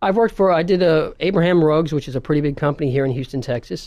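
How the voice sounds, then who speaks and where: The speaker has a New York accent, and the background is quiet. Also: man. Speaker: video marketing business owner. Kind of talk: radio interview.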